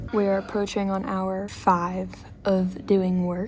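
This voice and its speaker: Noticeable background noise sits under a woman's medium-pitched voice, spoken in an American accent. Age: 20s. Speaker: actress and vlogger. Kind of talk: casual vlog chat. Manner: whispering; animated.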